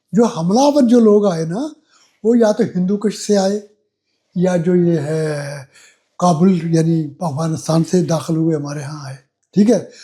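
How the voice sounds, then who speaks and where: A man's high voice has a dark, mellow tone and ordinary pitch variation. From Jammu and Kashmir. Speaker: writer and retired administrator. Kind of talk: interview.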